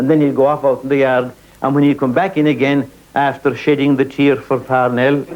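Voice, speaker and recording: This man's voice sits fairly high, with an Irish accent. He talks at a fairly quick pace in a monotone, flat intonation. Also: very even loudness. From Ireland, County Kerry. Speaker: actor and storyteller. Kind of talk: traditional folk storytelling performance.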